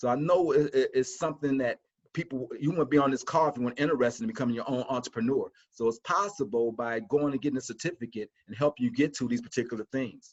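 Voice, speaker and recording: A man talks at a very fast pace and medium pitch with ordinary pitch variation, the sound dry and close with no echo. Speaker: college instructor. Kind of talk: webinar presentation. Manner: animated.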